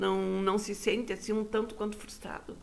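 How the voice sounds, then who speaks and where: The voice has vocal fry and moves at a moderate pace. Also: woman. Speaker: interviewer, portal host. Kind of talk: casual interview. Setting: studio. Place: studio. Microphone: lapel.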